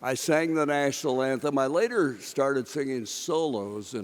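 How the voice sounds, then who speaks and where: An ordinary speaking voice, this man talks at a medium pitch with an American accent and ordinary pitch variation. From Kansas. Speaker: sportscaster. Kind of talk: acceptance speech.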